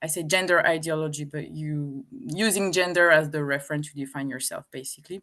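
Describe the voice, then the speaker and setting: A woman speaks with a French accent at a moderate pace. Her pitch varies in an ordinary way, and the background is quiet. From France. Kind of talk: interview. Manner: hesitant, many fillers.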